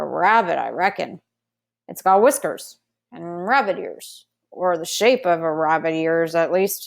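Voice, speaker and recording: A woman's put-on character voice at a medium pitch and moderate pace. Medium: read story. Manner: folksy, unhurried.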